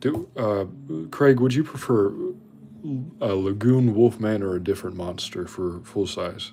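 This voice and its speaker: Low-ish in pitch, a man speaks at a moderate pace with a dark, mellow tone. His pitch shows ordinary variation. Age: 20s. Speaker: livestreamer and artist. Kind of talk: casual live stream chat while drawing.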